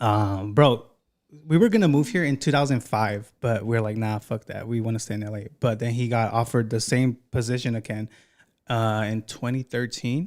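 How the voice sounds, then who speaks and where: A man with a plain, everyday voice, medium pitch, ordinary pitch variation and moderate pace. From Los Angeles, California. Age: 20s. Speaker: podcast host. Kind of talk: casual chat interview.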